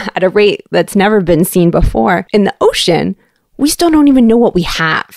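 Her intonation lively and her pace moderate, a woman with a slight Canadian accent speaks at a medium pitch in a dry, close sound with no echo. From Canada, Toronto. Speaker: science communicator for an ocean research foundation. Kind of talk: interview.

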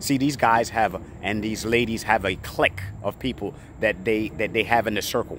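A man talking at a fairly quick pace with ordinary pitch variation, light background noise and a dry sound with no echo. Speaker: storage auction buyer and video creator. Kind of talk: pitchman sales talk, coaching viewers. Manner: emphatic, direct, boastful; repetitive, insistent. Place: street. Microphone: phone near.

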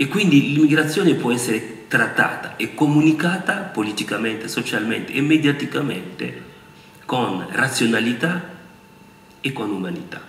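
The man's voice sits fairly high and swings very widely in pitch. He speaks at a moderate pace, with audible room echo. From Republic of the Congo. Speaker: university lecturer and former politician; university lecturer, former politician. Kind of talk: public talk. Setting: auditorium with audience. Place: hall. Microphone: podium.

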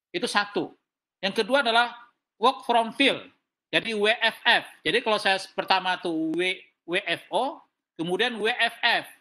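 Speaking at a very slow pace, a man projects a raised voice with a high pitch and a bright, sharp tone. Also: ordinary pitch variation. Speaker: senior government official. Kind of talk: meeting presentation. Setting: video call. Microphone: video call.

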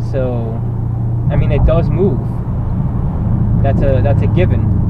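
A man speaks at a moderate pace. The sound is dry with no echo, under loud background noise. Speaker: vlogger. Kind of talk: casual vlog chat. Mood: relaxed, joking. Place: car. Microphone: camera far.

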